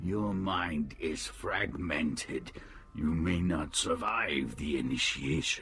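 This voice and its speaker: A man speaks in a put-on character voice, very deep and low-pitched, at a very slow pace, with clear background noise. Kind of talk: video game voice acting. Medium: video game. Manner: terse, flat, formal, speaks as "we".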